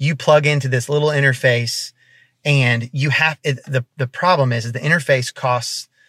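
In a very clean recording with a silent background and a dry, close sound with no echo, a man speaks in an unremarkable speaking voice at medium pitch, moderate pace and with fairly even intonation. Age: 30s. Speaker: worship leader and co-pastor. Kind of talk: casual interview.

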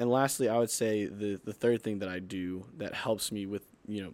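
Heard in a very clean recording with a silent background, a man speaks at a moderate pace with a fairly low pitch. He has a plain, everyday voice. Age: 20s. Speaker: youth pastor. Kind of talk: casual chat.

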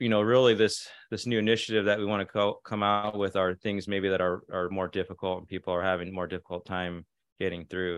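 A man with a plain, everyday voice talks quite quickly at a fairly low pitch, his intonation fairly even. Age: 40s. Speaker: holistic physician. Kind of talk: casual chat.

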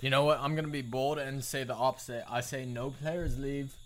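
A man with a plain, everyday voice and an American accent speaks at a medium pitch. He keeps a moderate pace and fairly even intonation. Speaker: podcast co-host. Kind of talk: casual banter podcast chat.

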